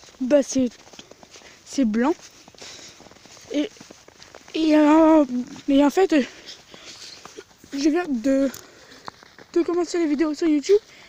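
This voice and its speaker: Through noticeable background noise, a woman with a high pitch speaks at a very slow pace, leaving long, frequent pauses. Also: ordinary pitch variation. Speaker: beginner YouTuber, vlogger. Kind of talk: casual vlog. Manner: halting, repeats words.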